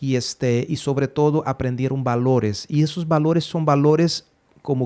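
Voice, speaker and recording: The man's tone is dark and mellow. He talks fairly slowly. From Brazil, Belo Horizonte. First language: Portuguese (speaking Spanish). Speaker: podcast host. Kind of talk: casual chat. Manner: halting with fillers.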